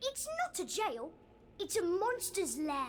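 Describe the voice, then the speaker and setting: A put-on character voice at an extremely high pitch speaks fairly slowly over clear background noise. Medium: video game. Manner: friendly, chirpy.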